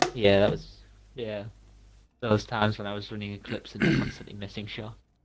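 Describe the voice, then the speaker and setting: Speaking with a northeast English accent, a man delivers his words fairly quickly in a fairly low, flat monotone. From northeast England. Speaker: gaming co-streamer. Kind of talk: casual gameplay chat.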